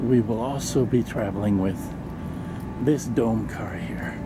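Clear background noise sits under a man's fairly low voice. He speaks at a fairly slow pace with ordinary pitch variation.

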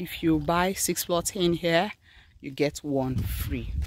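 A woman speaks with a Nigerian accent. The sound is dry with no echo, though noticeable background noise is present. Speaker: real estate agent. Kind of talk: street seller pitch, direct sales pitch. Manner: persuasive, upbeat. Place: open country. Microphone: phone near.

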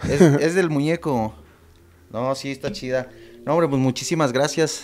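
Speaking at a fairly slow pace, a man uses a plain, everyday voice with a fairly high pitch and ordinary pitch variation. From Mexico City, Iztapalapa; Mexico City. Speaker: former soldier and film director; podcast guest. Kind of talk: casual interview.

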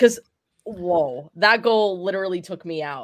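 In a normal speaking voice, a woman talks at a fairly quick pace. Her pitch is fairly low with ordinary variation. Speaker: show producer. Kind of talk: casual chat.

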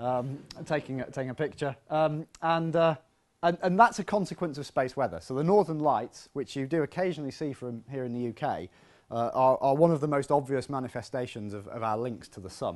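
The man talks fairly quickly, and the background stays quiet. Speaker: physics lecturer. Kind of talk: public lecture. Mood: friendly, lightly humorous. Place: hall. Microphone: lapel.

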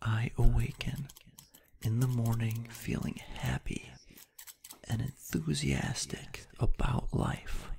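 Whispering, the speaker goes at a very slow pace with long, frequent pauses. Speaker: ASMR creator. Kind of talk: positive affirmations read. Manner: soft-spoken.

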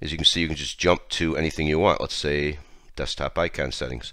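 In a very clean recording with a silent background, the speaker has a bright, sharp tone with vocal fry and moves at a moderate pace. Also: man. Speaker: tech tutorial host. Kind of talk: software tutorial screencast narration. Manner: casual.

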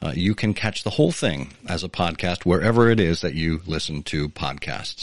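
A man with a very deep, low pitch and vocal fry, lively intonation, a fairly quick pace, and a quiet background. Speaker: podcast host. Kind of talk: interview conversation with scripted intro. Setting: live online audio room with listeners.

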